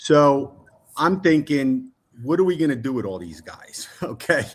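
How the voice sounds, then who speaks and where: A man has a plain, everyday voice at a fairly high pitch. His intonation is lively. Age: 60s. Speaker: football fan, guest. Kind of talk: casual chat.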